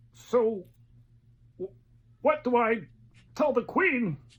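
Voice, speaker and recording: A female-sounding, put-on character voice at a fairly high pitch. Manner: bold, heroic.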